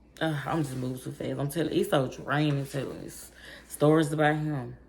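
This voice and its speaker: A woman speaks at a fairly quick pace, her pitch very deep and low. Her loudness swings widely, and there is audible room echo. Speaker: vlogger. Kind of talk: storytime vlog. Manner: fast; animated.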